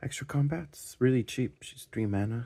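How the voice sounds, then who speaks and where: A quiet, somewhat breathy man speaks at a fairly slow pace with a dark, mellow tone and lively intonation in a very clean recording with a silent background. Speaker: card game deck reviewer. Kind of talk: casual tutorial. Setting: at home at night. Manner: quiet, hushed; casual, halting with fillers.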